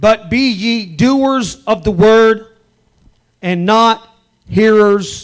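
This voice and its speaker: Against a quiet background, a man's pitch varies in an ordinary way. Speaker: pastor. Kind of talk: apostolic sermon at a tent revival. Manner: passionate, call-and-response preaching. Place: tent. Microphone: handheld.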